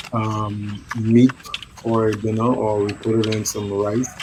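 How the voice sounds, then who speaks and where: Against noticeable background noise, a man talks at a fairly slow pace with a fairly low pitch and monotone, flat intonation. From Bahamas. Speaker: religious commentator. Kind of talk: live reaction commentary. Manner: casual, conversational.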